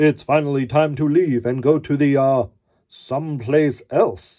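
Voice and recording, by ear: A man puts on a character voice, booming and loud at a fairly high pitch. He keeps to a moderate pace.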